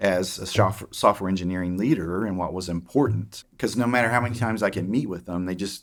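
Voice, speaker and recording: With an Oklahoma accent, the speaker talks at a very fast pace with hardly any pauses and ordinary pitch variation, on a very clean recording with a silent background. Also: man, fairly low pitch for a man. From Oklahoma, small town. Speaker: tech executive. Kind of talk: interview. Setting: podcast. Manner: halting, many fillers.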